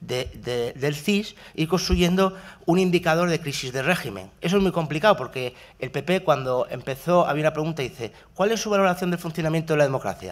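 Here a man speaks fairly quickly at a fairly high pitch in an ordinary speaking voice. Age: 30s. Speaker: university researcher; speaker. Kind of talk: talk at a workshop panel. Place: hall. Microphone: podium.

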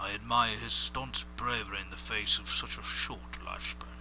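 At a moderate pace, a man puts on a character voice, with clear background noise behind him. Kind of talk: first-person journal reading. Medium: read story. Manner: formal, literate.

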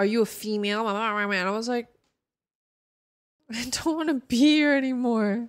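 A woman speaks at a moderate pace with ordinary pitch variation. The background is quiet. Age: 20s. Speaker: video game streamer; game streamer. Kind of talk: live stream gaming chat; casual stream chat. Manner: casual, filler-heavy. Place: home room. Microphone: studio mic.

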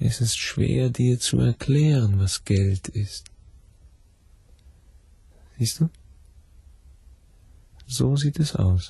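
A put-on character voice drags along at a very slow pace with long, frequent pauses. It has vocal fry, a husky, rough edge and a dark, mellow tone. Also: man, medium pitch for a man, ordinary pitch variation.

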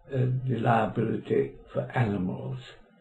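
A man talks fairly slowly, and the room's echo is audible. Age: 80s+. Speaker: law professor. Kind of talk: oral history interview. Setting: library. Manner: halting. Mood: calm, reflective reminiscing.

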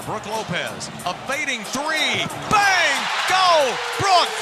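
A man's raised, projected voice with an American accent, extremely high pitch and very wide pitch swings over loud background noise. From Texas. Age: 60s. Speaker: radio play-by-play broadcaster. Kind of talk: live basketball radio play-by-play. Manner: excited, dramatic. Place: booth.

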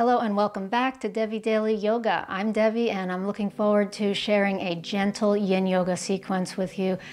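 A woman speaks at a fairly quick pace with hardly any pauses. Her intonation is monotone and flat. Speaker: yoga teacher. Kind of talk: guided yoga instruction. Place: home room.

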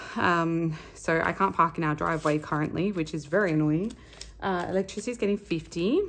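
A woman's fairly low voice in an Australian accent, at a fairly quick pace with ordinary pitch variation. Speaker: budgeting vlogger, stay-at-home mum. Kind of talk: casual vlog monologue. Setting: home recording. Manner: chatty, rambling with many fillers. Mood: relaxed, chatty.

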